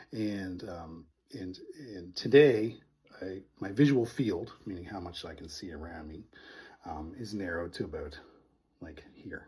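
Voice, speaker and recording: A man speaks at a fairly slow pace in a very deep, low, dark, mellow voice that is somewhat breathy. His intonation is lively, and his loudness swings widely. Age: 40s. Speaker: vlogger with low vision. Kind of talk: casual vlog talk. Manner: hesitant, many fillers.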